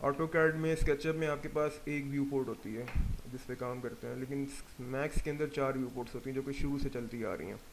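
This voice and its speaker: Fairly high in pitch, a man talks in an unremarkable speaking voice with fairly even intonation. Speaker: 3D software instructor. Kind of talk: tutorial.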